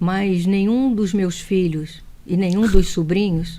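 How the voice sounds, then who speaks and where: Speaking at a fairly slow pace in a Rio de Janeiro accent, this voice has a dark, mellow tone and fairly even intonation. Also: woman. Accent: carioca. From Brazil, Rio de Janeiro. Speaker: speech therapist. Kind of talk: TV interview.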